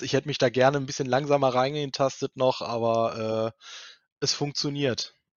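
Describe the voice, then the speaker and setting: Fairly even intonation in a man's voice of medium pitch. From Germany, Cologne. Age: 30s. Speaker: multimedia technician in public administration. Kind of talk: interview. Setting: video podcast recording. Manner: hesitant, many filler sounds.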